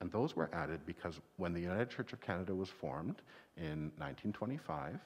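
Intonation from this man is lively. His pace is moderate. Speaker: minister. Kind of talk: children's time talk. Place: church.

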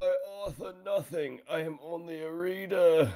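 A man's put-on character voice, high-pitched and hoarse, at a moderate pace. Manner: slow, solemn.

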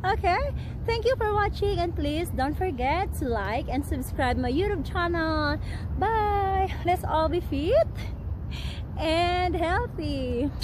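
With noticeable background noise and a dry sound with no echo, a woman speaks at a very slow pace. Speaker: fitness vlogger. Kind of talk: casual vlog chat. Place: garden.

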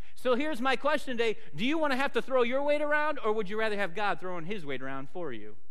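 A man's voice at an extremely high pitch, over a quiet background. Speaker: pastor. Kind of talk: sermon. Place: church.

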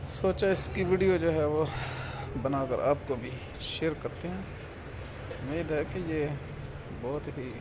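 Noticeable background noise sits under a man's voice, which has ordinary pitch variation. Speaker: village vlogger. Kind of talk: casual vlog chat. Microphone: phone near.

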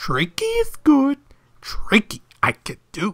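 A high-pitched, put-on character voice. The pace is fairly slow. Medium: dub.

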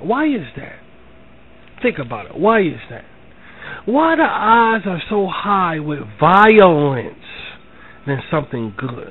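Someone with an American accent speaks at a very slow pace, with long, frequent pauses and big swings in loudness. Noticeable background noise is present. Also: man, high pitch for a man. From Philadelphia, US. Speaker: online talk show host. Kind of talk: spiritual monologue. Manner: repetitive, conversational.

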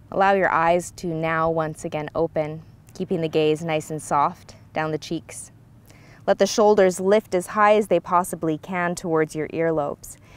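At a moderate pace, a woman speaks with a fairly low pitch and fairly even intonation in a dry sound with no echo. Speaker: yoga instructor. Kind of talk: guided yoga instruction. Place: open country.

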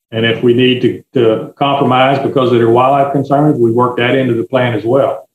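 In a Louisiana accent, a man speaks at a fairly quick pace and medium pitch. His intonation is monotone and flat. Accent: US South, Louisiana. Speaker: forester and land broker. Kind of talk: interview answers.

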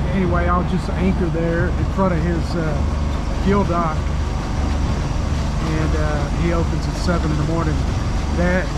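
Loud background noise fills the recording. A man speaks very slowly with ordinary pitch variation. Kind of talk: casual vlog chat. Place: boat. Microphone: phone near.

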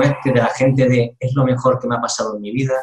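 Someone speaks at a fairly quick pace. There is audible room echo and light background noise. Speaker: interviewer. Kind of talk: interview questions. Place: home room.

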